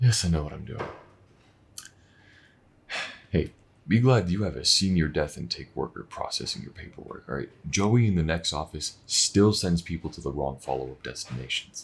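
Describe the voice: A man does a put-on character voice at an extremely low pitch, with lively intonation and a fairly quick pace. There's a slightly husky edge and some vocal fry.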